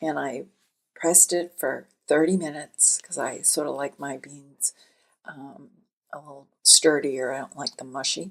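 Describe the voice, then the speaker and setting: A woman with a very deep, low pitch speaks at a fairly slow pace, her intonation fairly even but her loudness swinging widely. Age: 70s. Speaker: podcast host. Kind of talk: casual monologue. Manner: conversational, chatty.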